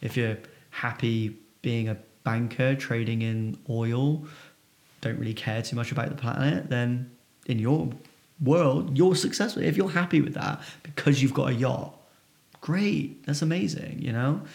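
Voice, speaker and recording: Speaking at a fairly slow pace with long, frequent pauses, a man uses lively intonation at a medium pitch in a somewhat breathy voice. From England, Bristol area. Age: 30s. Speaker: entrepreneur. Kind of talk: interview conversation.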